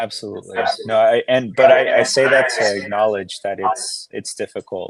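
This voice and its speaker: A man with a Spanish accent talks at a moderate pace in a dry, close sound with no echo. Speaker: legislative staffer. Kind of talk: interview. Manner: halting, many restarts.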